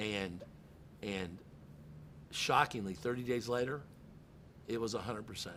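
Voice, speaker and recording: With audible room echo, the speaker uses a bright, sharp tone at a moderate pace and ordinary pitch variation, leaving long, frequent pauses. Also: man, fairly low pitch for a man. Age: 60s. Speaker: car dealership general manager. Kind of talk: podcast interview. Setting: in a car dealership. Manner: animated.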